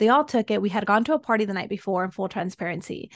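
Speaking at a very fast pace, a woman's medium-pitched voice comes through dry and close with no echo. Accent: Spanish. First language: Spanish. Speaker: soul embodiment and breathwork coach, former teacher. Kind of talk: casual interview chat.

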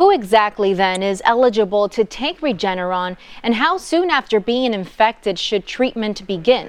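A woman's unremarkable speaking voice, fairly high in pitch, with lively intonation, a moderate pace and hardly any pauses. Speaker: podcast news host. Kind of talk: scripted news reading. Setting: studio.

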